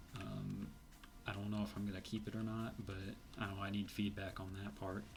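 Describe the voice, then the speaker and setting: With music in the background and audible room echo, a man speaks at a fairly quick pace in a fairly low pitch with monotone, flat intonation. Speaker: indie game developer. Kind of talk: let's play commentary. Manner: hesitant, many fillers.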